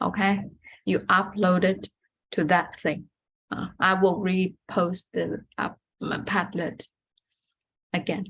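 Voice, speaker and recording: Slow to a crawl with long, frequent pauses, a woman speaks at a medium pitch with vocal fry and monotone, flat intonation. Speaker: math teacher. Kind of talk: lecture. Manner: halting.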